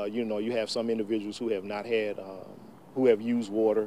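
With a Southern US accent, a man speaks in a fairly low, dark and mellow voice with monotone, flat intonation, recorded dry with no echo over light background noise. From Mississippi. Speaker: state legislator. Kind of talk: news interview. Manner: halting, many fillers. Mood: calm, measured. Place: street. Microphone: lapel.

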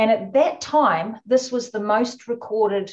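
Fairly slow and somewhat breathy, a voice with a New Zealand accent carries ordinary pitch variation over a quiet background. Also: woman. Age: 50s. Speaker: orca researcher. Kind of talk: webinar interview.

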